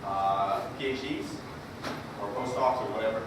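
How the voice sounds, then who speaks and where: There is music in the background as a man speaks in a room with audible echo. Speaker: keynote speaker, data science startup founder. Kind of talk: keynote talk. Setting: stage with live audience. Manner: loud; casual with many fillers. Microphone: speaking without mic, mic echo.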